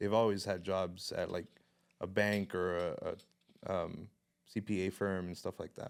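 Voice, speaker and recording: A man with a fairly low voice talks at a moderate pace in a flat monotone, leaving long, frequent pauses, on a very clean recording with a silent background. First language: Spanish. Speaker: photographer and videographer. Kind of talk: casual chat.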